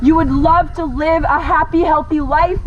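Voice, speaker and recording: A woman speaks at a moderate pace. Noticeable background noise and audible room echo fill the recording. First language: French. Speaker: animal rights activist. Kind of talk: protest speech. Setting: outdoors at roadside protest. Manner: pleading, impassioned.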